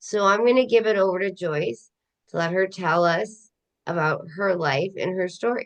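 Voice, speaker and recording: A woman speaks at a fairly slow pace. Hers is an unremarkable speaking voice at medium pitch. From Canada. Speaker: podcast host. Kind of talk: interview.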